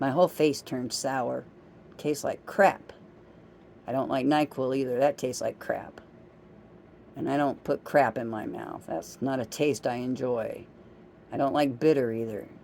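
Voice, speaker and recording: A woman's very deep, low pitch with a dark, mellow tone, ordinary pitch variation, a moderate pace and long, frequent pauses. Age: 60s. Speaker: vlogger. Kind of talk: casual monologue.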